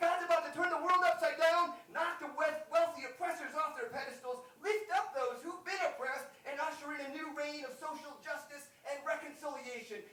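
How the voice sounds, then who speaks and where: With hardly any pauses, a man delivers a raised, projected voice at an extremely high pitch. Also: ordinary pitch variation, moderate pace. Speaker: United Methodist pastor delivering a poetry sermon. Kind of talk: slam poetry sermon delivered live to an audience. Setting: live concert venue, chapel.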